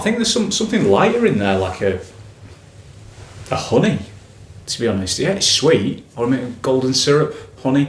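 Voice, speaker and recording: A man's medium-pitched voice at a moderate pace, with very wide pitch swings, long and frequent pauses, audible room echo and noticeable background noise. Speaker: whisky reviewer. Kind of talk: product review, casual tasting talk. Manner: casual, hesitant with fillers and self-corrections.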